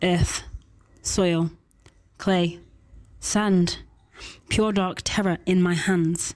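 Silence fills the background of this very clean recording. Intonation stays mostly level. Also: woman. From Doncaster, England. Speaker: poet. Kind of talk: slam poetry reading.

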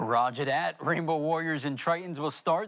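The man speaks at a moderate pace with ordinary pitch variation. The background is quiet. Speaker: sports reporter. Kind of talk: TV news sports report.

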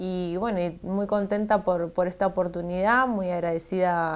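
A woman talks with a medium pitch, keeping a moderate pace. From Argentina, Santa Fe. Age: 20s. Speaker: politician; politician interviewee. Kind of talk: TV interview. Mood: grateful, hopeful. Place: studio. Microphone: lapel.

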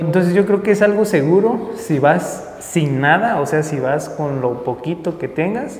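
With light background noise and audible room echo, a man in a Mexican accent speaks at a fairly slow pace. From Mexico. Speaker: travel vlogger. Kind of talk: vlog narration. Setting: outdoors, city streets at night.

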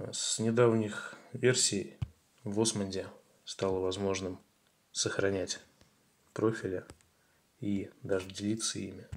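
A man at a very slow pace with long, frequent pauses, fairly low in pitch and fairly even in intonation. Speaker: tutorial video creator. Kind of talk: tutorial.

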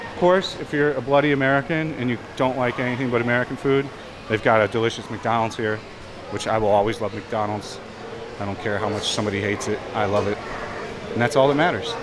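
There is noticeable background noise as a man speaks very fast with ordinary pitch variation. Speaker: travel vlogger. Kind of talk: casual vlog chat. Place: shop. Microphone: phone near.

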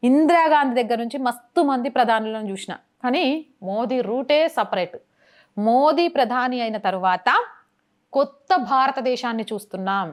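A woman's high-pitched voice in a very clean recording with a silent background. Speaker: journalist. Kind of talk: news commentary to camera.

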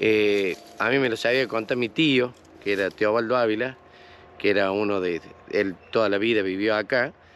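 A man with an Argentine accent talks at a moderate pace in a fairly low pitch, with fairly even intonation and very even loudness. The sound is dry with no echo, over light background noise. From Argentina. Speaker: local resident; interviewee. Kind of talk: interview. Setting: outdoors. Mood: reminiscing, friendly. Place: open country.

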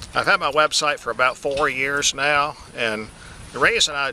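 Amid noticeable background noise, a man with an American accent speaks at a medium pitch and moderate pace, with ordinary pitch variation and a dry sound with no echo. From Georgia, USA. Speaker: purebred livestock auctioneer. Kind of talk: business testimonial to camera. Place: farm.

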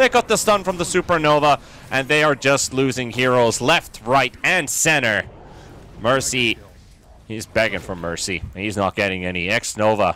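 Bright and sharp in tone, a man's medium-pitched voice moves through very wide pitch swings. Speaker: esports caster. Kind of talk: esports live commentary. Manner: fast, excitable play-by-play delivery.

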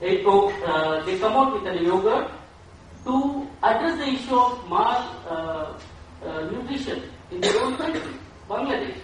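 A voice with an Indian accent is heard in strong room echo, with light background noise. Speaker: nonprofit worker. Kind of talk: audience question at a conference. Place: hall.

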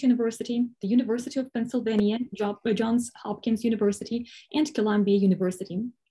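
Against a quiet background, a woman talks at a fairly quick pace with ordinary pitch variation. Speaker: event host or moderator. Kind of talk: introduction of a lecture speaker. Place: home room. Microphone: video call.

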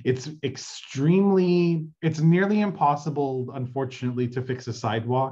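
A somewhat breathy man's voice against a quiet background. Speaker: city council field deputy. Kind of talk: community meeting update. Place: home room. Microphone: video call.

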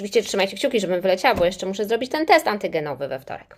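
Her tone is animated, and her intonation is lively. The woman is heard on a very clean recording with a silent background. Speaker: English teacher and business trainer. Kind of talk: casual livestream talk to viewers. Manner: animated, chatty.

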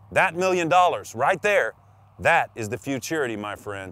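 With light background noise and a dry sound free of echo, a man speaks with very wide pitch swings. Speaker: promotional spokesman. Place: open country.

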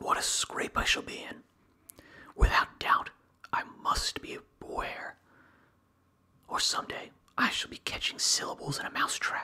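A man whispers in a calm tone. Long, frequent pauses break up his speech. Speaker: ASMR reader. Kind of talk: ASMR whisper reading of a book. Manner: whispered, slow, soft and calm; even, measured and soothing. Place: home room. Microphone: studio mic.

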